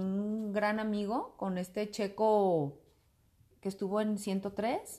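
A woman's fairly high-pitched voice with a dark, mellow tone. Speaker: commercial voice-over announcer and teacher. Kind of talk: casual interview chat. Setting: at home.

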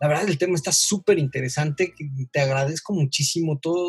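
The sound of this man talking is dry and close, without any echo. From Mexico, Veracruz. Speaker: pediatrician podcast host. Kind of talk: casual interview. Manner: halting.

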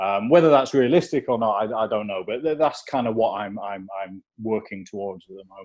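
A man with an English accent talks at a fairly quick pace with hardly any pauses. His medium pitch varies in an ordinary way, while his loudness swings a great deal. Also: quiet background. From England. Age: 40s. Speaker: documentary photographer. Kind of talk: interview conversation. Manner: halting, with repeated words and fillers.

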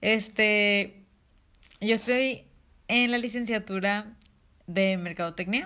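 Her voice sits at a medium pitch with ordinary pitch variation and a bright, sharp tone. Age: young. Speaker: podcast co-host, marketing student. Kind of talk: casual chat.

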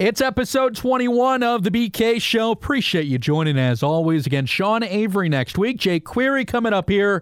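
An animated man speaks with an American accent and very wide pitch swings. The recording is very clean, with a silent background. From Chicago suburbs. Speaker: sports radio host and podcaster. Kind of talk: casual sports monologue.

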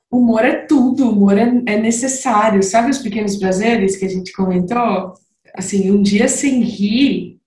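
A woman speaks at a fairly slow pace with ordinary pitch variation. Room echo is audible. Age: 30s. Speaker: manager. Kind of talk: casual chat.

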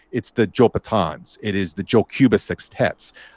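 In an ordinary speaking voice, a man talks fairly slowly at a fairly low pitch with ordinary pitch variation, on a very clean recording with a silent background and a dry, close sound with no echo. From Los Angeles, California. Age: 40s. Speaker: DJ, writer and sociology professor. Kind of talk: casual interview.

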